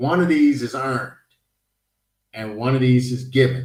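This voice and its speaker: An ordinary speaking voice: a man with an American accent, medium pitch, at a fairly slow pace. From United States. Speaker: podcast host. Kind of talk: panel discussion.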